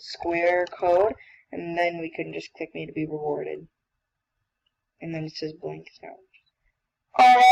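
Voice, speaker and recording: A woman speaks at a moderate pace in a medium pitch. She has a plain, everyday voice. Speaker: coding tutorial maker. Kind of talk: tutorial. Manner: casual, self-correcting.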